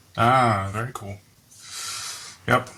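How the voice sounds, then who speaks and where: A man speaks at a moderate pace with a Dutch accent. His tone is bright and sharp, with ordinary pitch variation. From Netherlands. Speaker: software company employee. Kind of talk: casual interview.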